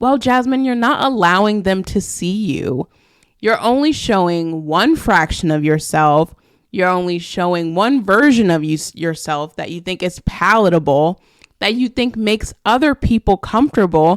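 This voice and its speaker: A woman's ordinary speaking voice, medium in pitch, with lively intonation at a moderate pace and a dry, close sound with no echo. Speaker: podcast host. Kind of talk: solo podcast monologue.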